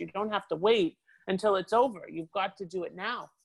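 An ordinary speaking voice with a Canadian accent moves at a moderate pace. The sound is dry and close, with no echo. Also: woman. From Canada. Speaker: international business lawyer. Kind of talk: interview.

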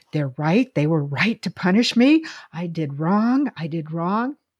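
Against a quiet background with a dry, close sound and no echo, a woman with an American accent speaks fairly slowly at a fairly low pitch with very wide pitch swings. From US South, Lynchburg, Virginia. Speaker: podcast co-host. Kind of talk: casual chat.

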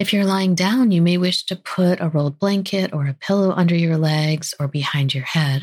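A woman with a fairly low pitch and an unremarkable speaking voice talks with hardly any pauses and ordinary pitch variation. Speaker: podcast host and physician. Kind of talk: guided meditation. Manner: slow, soft, soothing and calm; gentle, unhurried, with pauses.

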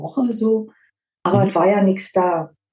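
This woman's voice sits at a medium pitch, with a dark, mellow tone. It is somewhat breathy and moves at a moderate pace. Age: 50s. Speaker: dental prophylaxis assistant, weight-loss client. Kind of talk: interview testimony. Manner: hesitant, many fillers.

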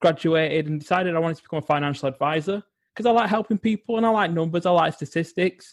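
This speaker talks at a very fast pace with an English accent. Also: man, high pitch for a man, ordinary pitch variation. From England. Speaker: psychologist and well-being coach. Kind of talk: interview.

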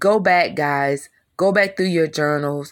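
In a very clean recording with a silent background, a woman speaks at a fairly slow pace with ordinary pitch variation. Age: 50s. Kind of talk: devotional teaching. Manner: animated.

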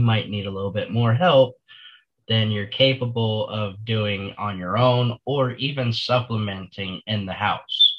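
A man speaks with an American accent and ordinary pitch variation. He has a plain, everyday voice. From Florida. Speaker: senior living advisor. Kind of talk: casual interview.

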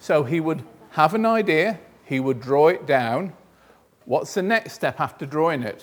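A man with a normal speaking voice talks at a fairly high pitch. His pace is fairly slow and his intonation lively. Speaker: museum volunteer. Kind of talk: presentation to schoolchildren. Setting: museum, with children. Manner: engaging, quizzing the children.

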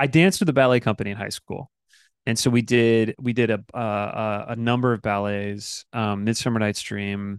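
A man with an American accent speaks in a plain, everyday voice of medium pitch and fairly even intonation, recorded with a dry, close sound, no echo, and a quiet background. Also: moderate pace. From Michigan. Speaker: actor. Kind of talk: casual chat. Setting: video call.

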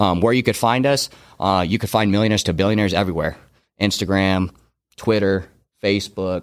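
A man with a General American accent speaks at a fairly quick pace in a fairly low pitch, with long, frequent pauses. His intonation is fairly even and his loudness very even, on a very clean recording with a silent background. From Arizona. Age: 20s. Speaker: podcast host and entrepreneur. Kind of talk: podcast introduction, promotional.

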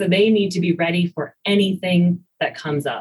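A woman with an American accent speaks at a moderate pace and fairly low pitch. Her voice is somewhat breathy, with ordinary pitch variation. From rural US, farm. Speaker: biology professor. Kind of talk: interview.

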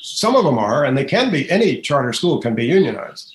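This man's voice is fairly high and somewhat breathy. He speaks at a fairly quick pace with lively intonation. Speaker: author and education policy writer. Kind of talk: interview.

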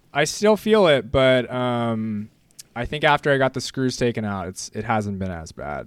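A man with an American accent, a medium pitch, and a normal speaking voice talks at a moderate pace with lively intonation. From US West Coast, San Clemente, California. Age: 20s. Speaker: bodyboarding shop staff. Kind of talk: interview.

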